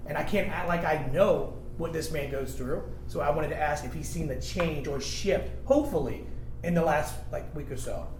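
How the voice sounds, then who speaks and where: Recorded with audible room echo and noticeable background noise, a man speaks at a moderate pace in an American accent. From Virginia Beach, Virginia. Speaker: radio host. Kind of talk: round-table discussion.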